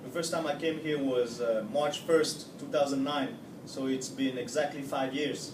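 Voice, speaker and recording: A man's fairly high voice in a French accent, moderate in pace with fairly even intonation, audible room echo and noticeable background noise. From Switzerland. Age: 30s. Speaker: interviewee. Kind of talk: street interview. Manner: hesitant, many fillers.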